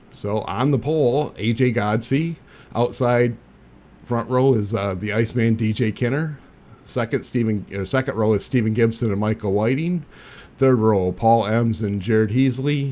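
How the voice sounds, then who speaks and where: At a moderate pace, the speaker delivers words in a dark, mellow tone. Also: man, medium pitch for a man. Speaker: sim racing commentator. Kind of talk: live commentary. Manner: monotone.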